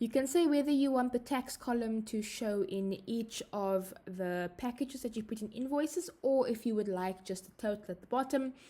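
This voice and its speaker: A woman with a South African accent, a dark, mellow tone and a moderate pace. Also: fairly high pitch for a woman, ordinary pitch variation, hardly any pauses. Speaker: software trainer. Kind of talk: tutorial. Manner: hesitant, frequent fillers.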